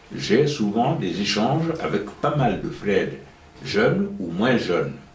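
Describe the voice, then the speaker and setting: A man speaks at a very slow pace and a medium pitch, with very wide pitch swings. Audible room echo and noticeable background noise fill the recording. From Guinea. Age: 70s. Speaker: retired professor. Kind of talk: interview.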